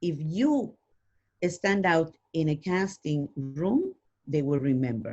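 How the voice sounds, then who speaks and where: This speaker has a non-native accent, lively intonation and a dark, mellow tone. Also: woman. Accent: foreign. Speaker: actress and voiceover artist. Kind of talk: interview.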